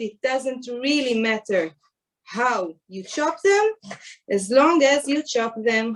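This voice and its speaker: A woman's high voice with an Israeli accent and lively intonation. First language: Hebrew. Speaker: chef. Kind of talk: tutorial. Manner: halting.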